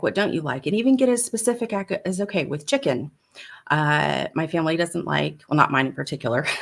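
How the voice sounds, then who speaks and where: A woman with a very deep, low pitch and vocal fry talks at a fairly quick pace, her pitch swinging very widely. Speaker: personal chef. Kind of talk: live stream tutorial. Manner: fast; casual, filler-heavy.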